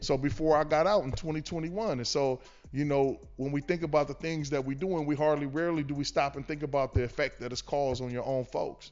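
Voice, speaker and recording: With a normal speaking voice, a man talks at a fairly quick pace and a fairly high pitch, keeping his intonation fairly even. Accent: American. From Los Angeles, West LA. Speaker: community worker, formerly incarcerated. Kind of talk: casual interview chat.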